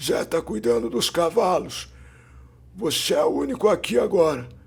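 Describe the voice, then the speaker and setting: A man's put-on character voice, hoarse and raspy, high in pitch, at a moderate pace. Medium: read story. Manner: curt, authoritative.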